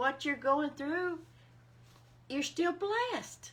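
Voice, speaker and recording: Speaking at a very slow pace, a woman talks. She has an Alabama accent. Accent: Southern US (Alabama). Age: 60s. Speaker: faith vlogger. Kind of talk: casual devotional talk.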